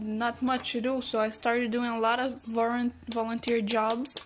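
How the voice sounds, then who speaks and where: A woman's fairly high, monotone voice with flat intonation, a moderate pace, and noticeable background noise. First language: Portuguese and Spanish. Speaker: cook. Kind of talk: self-introduction.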